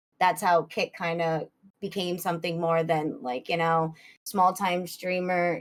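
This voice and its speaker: A woman with a Boston accent at medium pitch, on a very clean recording with a silent background. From US Northeast, Boston area. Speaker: streamer. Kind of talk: interview.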